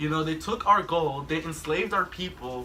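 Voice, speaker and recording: With music in the background, a man speaks in a high pitch with lively intonation. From Mexico. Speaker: talk show host. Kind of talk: casual chat. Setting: drinking session with friends.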